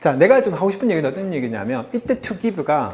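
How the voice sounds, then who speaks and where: This man sounds animated and speaks fairly quickly. His pitch swings very widely. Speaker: English teacher. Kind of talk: lecture. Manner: fast.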